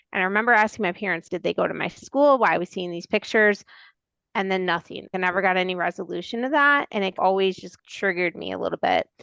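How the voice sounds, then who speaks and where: Speaking very fast with a Wisconsin accent, a woman uses a medium pitch, ordinary pitch variation and a bright, sharp tone, in a dry, close sound with no echo and a quiet background. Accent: Upper Midwest (Wisconsin). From Milwaukee, Wisconsin. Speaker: podcast co-host. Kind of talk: casual chat.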